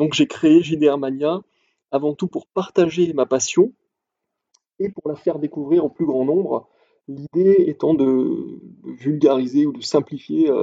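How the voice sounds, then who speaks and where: A man with a dark, mellow tone and fairly high pitch talks at a fairly slow pace with ordinary pitch variation, in a dry, close sound with no echo. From southern France, Montpellier. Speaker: podcast host, role-playing game blogger. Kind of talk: solo podcast monologue.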